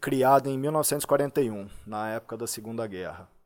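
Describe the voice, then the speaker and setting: A man's medium-pitched voice comes across in a very clean recording with a silent background. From Brazil, Limeira (São Paulo state). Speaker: personal trainer. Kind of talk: podcast interview. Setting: studio.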